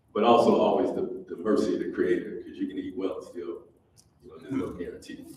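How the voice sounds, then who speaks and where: Delivered at a very fast pace with big swings in loudness, the speech has audible room echo and noticeable background noise. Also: man. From Detroit, Michigan. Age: 70s. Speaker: community organizer and keynote speaker. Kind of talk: keynote address. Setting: university ballroom with audience. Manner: conversational, with fillers.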